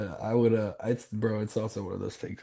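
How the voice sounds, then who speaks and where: A man with a Southern US accent, medium in pitch and dark, mellow in tone, at a moderate pace with monotone, flat intonation. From US South, South Carolina. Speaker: business coach. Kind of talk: coaching call. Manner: casual.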